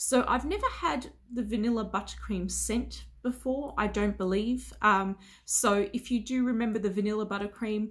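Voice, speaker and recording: Here a woman speaks with vocal fry and ordinary pitch variation. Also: quiet background. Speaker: beauty vlogger. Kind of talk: casual vlog chat. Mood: relaxed, chill. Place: home room.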